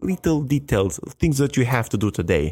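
In a very clean recording with a silent background, a man with an Albanian accent speaks at a moderate pace, his pitch swinging very widely. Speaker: podcast host, motivational speaker. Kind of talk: motivational talk.

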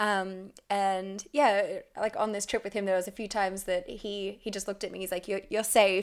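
A woman speaks with an Australian accent. The recording is very clean, and the background is silent. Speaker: former tour guide. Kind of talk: casual chat. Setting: kitchen.

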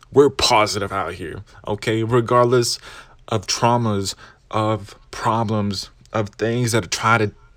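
A man speaks very slowly in a fairly low voice with fairly even intonation. The recording is very clean, with a silent background. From Arkansas, Clarksville area, Mexican-American. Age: 20s. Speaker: podcast host. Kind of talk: motivational monologue.

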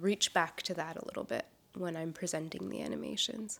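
The speaker is a woman. Her pitch is fairly low. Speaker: painter and animation artist. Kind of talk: interview. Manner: halting, many fillers.

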